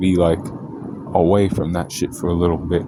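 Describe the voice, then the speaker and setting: The speech moves at a fairly quick pace with fairly even intonation. Noticeable background noise and audible room echo are present. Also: man. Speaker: astrology video creator. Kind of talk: casual monologue on astrology. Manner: loud; casual, filler-heavy.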